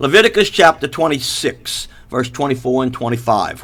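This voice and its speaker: Lively intonation from a man. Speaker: preacher. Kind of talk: sermon. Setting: live stream. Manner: fast; loud.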